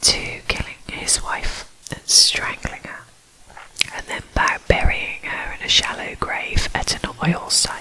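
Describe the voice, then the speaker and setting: A whispering woman at a very slow pace, with long, frequent pauses, big swings in loudness and noticeable background noise. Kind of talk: true crime ASMR narration. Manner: whispered.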